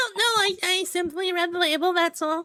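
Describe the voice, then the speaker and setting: A woman puts on a squeaky character voice at an extremely high pitch, her loudness very even, recorded dry and close with no echo. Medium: actual play.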